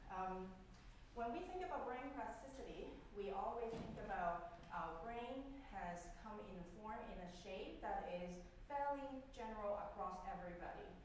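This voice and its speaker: Strong room echo and light background noise surround a woman whose fairly high voice has lively intonation at a fairly slow pace. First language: Cantonese. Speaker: professor. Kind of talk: lecture. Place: classroom.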